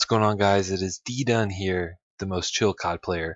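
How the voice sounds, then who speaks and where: A soft-spoken man at a fairly low pitch and moderate pace. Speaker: gaming youtuber. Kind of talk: gameplay commentary. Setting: home recording.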